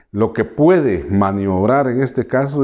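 The man's voice has a dark, mellow tone. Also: quiet background. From Guatemala, Maya K'iche' people. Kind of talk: interview testimony. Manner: hesitant, many fillers. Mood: earnest, concerned. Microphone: lapel.

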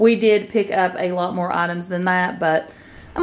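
With ordinary pitch variation, a woman speaks at a moderate pace over light background noise. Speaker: home vlogger. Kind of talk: casual haul vlog chat. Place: home room. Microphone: phone near.

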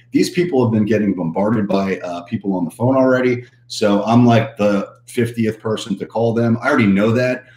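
Over light background noise and audible room echo, a man talks at a fairly quick pace with ordinary pitch variation. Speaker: coach. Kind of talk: livestream talk to viewers. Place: office. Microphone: webcam.

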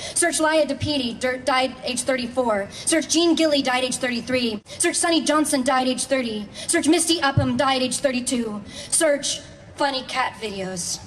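Light background noise sits behind a woman whose high-pitched voice has ordinary pitch variation. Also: moderate pace. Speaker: poet and actress. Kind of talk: poetry reading. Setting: outdoors. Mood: calm, measured, list-like cadence. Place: stage. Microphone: podium.

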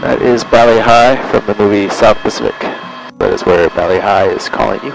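A man's fairly quick speech comes through in a dry sound with no echo, with noticeable background noise present. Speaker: helicopter tour pilot guide. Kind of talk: tour guide commentary.

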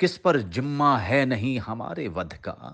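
A man speaks at a medium pitch with vocal fry over a quiet background. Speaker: actor. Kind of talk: poetry reading.

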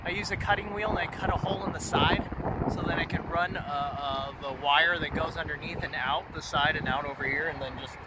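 A man talks at a fairly quick pace with ordinary pitch variation, in a dry sound with no echo over loud background noise. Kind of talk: casual vlog chat. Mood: excited, upbeat. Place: open country. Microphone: phone near.

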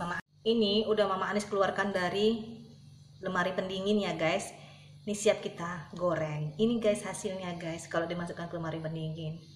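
A woman talks fairly quickly with fairly even intonation, with audible room echo and light background noise. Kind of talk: cooking tutorial. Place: kitchen.

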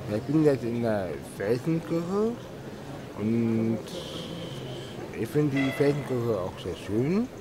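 A man talks at a very slow pace. Noticeable background noise runs behind him. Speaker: tourist vlogger. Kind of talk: casual vlog chat. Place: church. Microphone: phone near.

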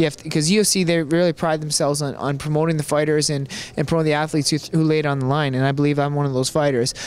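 A man with a fairly high pitch speaks at a very fast pace in a monotone, flat intonation, and the sound is dry with no echo. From Canada. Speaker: professional MMA fighter; interviewee. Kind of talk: interview. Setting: hotel. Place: hall.

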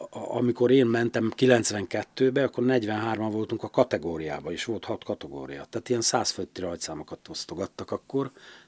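A man talks at a moderate pace with lively intonation and hardly any pauses. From Hungary, Győr area; Hungary. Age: 60s. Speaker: rally club president, former rally driver; podcast guest. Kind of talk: casual interview. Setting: studio. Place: studio. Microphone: studio mic.

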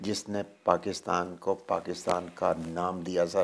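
The man's words come out at a very slow pace. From Pakistan. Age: 70s. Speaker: overseas Pakistani commentator. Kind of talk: interview.

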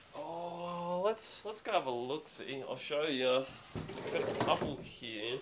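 Through loud background noise, a man with an Australian accent and a fairly high pitch talks at a very slow pace with lively intonation and hardly any pauses. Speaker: seller at garage sale. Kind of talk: casual chat. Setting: outdoors. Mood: relaxed, chatty. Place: garage. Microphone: phone near.

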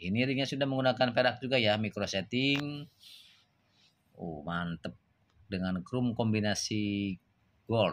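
Speaking at a fairly slow pace with long, frequent pauses, a man uses a fairly low pitch with ordinary variation. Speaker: gemstone seller. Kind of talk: sales pitch, pitchman-style product showcase with exclamations of praise; product presentation. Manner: animated, excitable, repeating 'wow' and 'mantep' with hard-sell enthusiasm. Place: shop. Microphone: phone near.

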